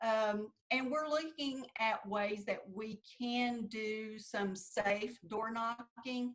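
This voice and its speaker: A woman's very slow, somewhat breathy voice, fairly high in pitch, with a Southern Appalachian accent and fairly even intonation. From US South, southeast Kentucky. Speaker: political candidate. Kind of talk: interview.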